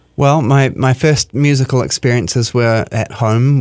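A man with a New Zealand accent speaks with fairly even intonation in a dry, close sound with no echo. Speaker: artistic director of a chamber music series. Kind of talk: radio interview. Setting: radio studio.

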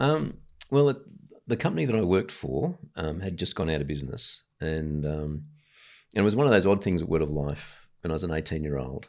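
A man talks at a fairly quick pace with a very deep, low pitch. His intonation is lively. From Sydney, Australia (Ryde). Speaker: Baptist pastor. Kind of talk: interview conversation. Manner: hesitant, many ums.

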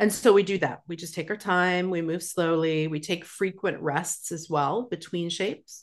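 A woman with a Western Canadian accent speaks at a fairly low pitch and a moderate pace, with fairly even intonation. She leaves hardly any pauses, and the background is quiet. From Alberta, Canada. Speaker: yoga therapist. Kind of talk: interview.

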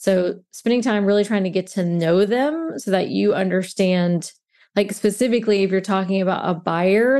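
Over a quiet background, a woman speaks with an American accent. Her tone is dark and mellow, her pitch medium. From US South, Mobile, Alabama. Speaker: realtor, relocation specialist. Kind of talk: interview conversation.

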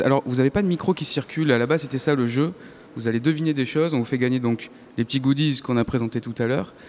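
Very fast pace with ordinary pitch variation. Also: man. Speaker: radio host. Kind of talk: live public radio show. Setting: live in arts centre hall with audience.

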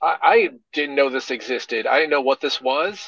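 A man talks at a moderate pace, his pitch fairly high for a man. His tone is bright and sharp over a quiet background. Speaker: podcast co-host. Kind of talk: casual chat.

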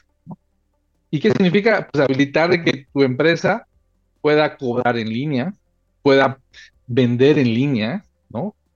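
A man speaks fairly slowly in a fairly high voice with lively intonation and long, frequent pauses, dry and close with no echo, as music plays in the background. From Mexico. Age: 40s. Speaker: telecom and data center executive. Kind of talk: interview. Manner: halting, many fillers and repetitions.

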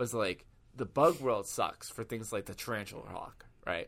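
The recording of this man is very clean, with a silent background. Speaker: podcast host. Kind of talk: casual chat. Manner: loud.

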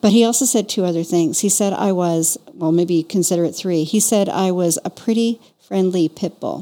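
A woman with a Canadian accent, an ordinary speaking voice at medium pitch, ordinary pitch variation and a moderate pace with hardly any pauses. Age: 60s. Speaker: podcast host and business owner. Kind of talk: casual conversation between friends.

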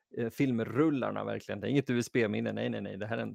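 A man talks in a close, dry recording with no echo. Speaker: podcast host. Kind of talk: casual chat. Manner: mock radio announcer voice.

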